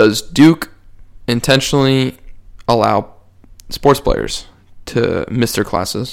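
Vocal fry runs through this man's speech. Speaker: podcast host. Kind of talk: casual chat.

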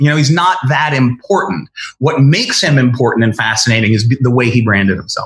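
Somewhat breathy, a man with an American accent and medium pitch talks at a fairly quick pace. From Connecticut, US. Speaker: screenwriter. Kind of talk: interview. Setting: remote interview from home.

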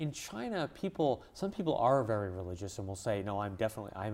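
An ordinary speaking voice from a man with a Canadian accent, fairly low in pitch. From Canada, English-speaking Montreal. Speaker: journalist and author. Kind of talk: interview. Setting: studio.

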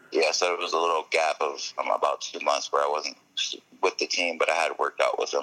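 Noticeable background noise surrounds the recording. In it, a man speaks at a fairly quick pace. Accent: American. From Connecticut, US. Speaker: professional football player. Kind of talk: interview.

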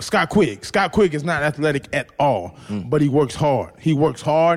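At a fairly slow pace, a man speaks in a normal speaking voice with a fairly high pitch. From United States. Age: 30s. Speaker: former professional boxer. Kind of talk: casual chat.

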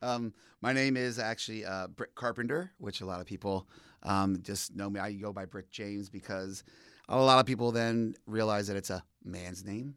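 In a very clean recording with a silent background, a man speaks with an American accent. His pitch is fairly low, his intonation fairly even, and his pace moderate. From eastern Pennsylvania, Allentown area. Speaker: person in recovery, community advocate. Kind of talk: casual interview.

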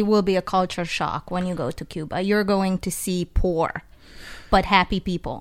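A woman talks at a fairly quick pace in an Eastern European accent. Her pitch is medium and her intonation monotone and flat. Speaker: travel guest. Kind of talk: casual chat. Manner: nervous.

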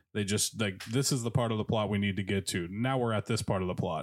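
On a very clean recording with a silent background, a man uses an ordinary speaking voice with a fairly low pitch and fairly even intonation. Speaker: comedian. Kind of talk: casual chat. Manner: casual, joking.

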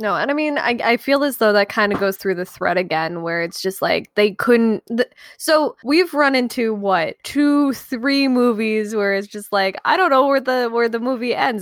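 A woman speaks with lively intonation at a moderate pace, hardly pausing at all. The sound is dry and close, with no echo. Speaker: podcast co-host. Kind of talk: casual banter.

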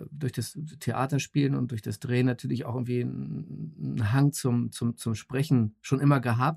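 Somewhat breathy and dark, mellow in tone, a man speaks at a medium pitch and a fairly slow pace, with ordinary pitch variation, in a dry, close sound with no echo. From West Berlin. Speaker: actor and voice actor. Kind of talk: casual chat. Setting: home recording booth via online call.

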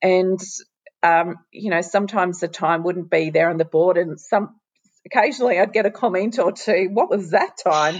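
The speaker has an Australian accent and a moderate pace. Pitch variation is ordinary. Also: woman, medium pitch for a woman. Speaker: former champion swimmer. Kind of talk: casual interview. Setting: at home, remote call.

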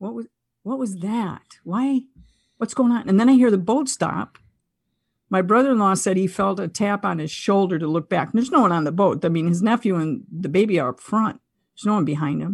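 A woman talks at a fairly quick pace with an American accent and lively intonation. Her voice is somewhat breathy against a quiet background. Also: medium pitch for a woman. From Buffalo, New York, US. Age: 60s. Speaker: consciousness podcaster and former wellness teacher. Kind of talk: casual interview conversation.

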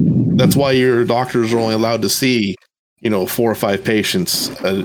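Using an ordinary speaking voice, a man of medium pitch talks at a moderate pace with ordinary pitch variation and very even loudness. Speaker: Air Force veteran, podcast co-host. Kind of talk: casual chat.

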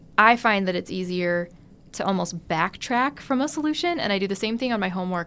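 An ordinary speaking voice from a woman, medium in pitch, fairly quick, with lively intonation, in a very clean recording with a silent background. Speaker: engineering student. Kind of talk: casual interview.

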